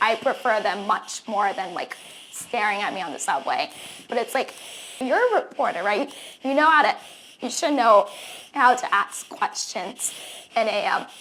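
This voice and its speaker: A woman with a fairly high pitch speaks at a moderate pace, using very wide pitch swings and long, frequent pauses, over noticeable background noise. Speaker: journalist. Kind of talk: interview answer. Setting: speaks with a tracheostomy tube.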